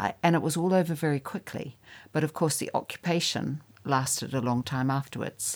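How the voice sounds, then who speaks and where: A woman's very deep, low voice with a New Zealand accent and ordinary pitch variation, on a very clean recording with a silent background. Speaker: writer. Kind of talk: interview.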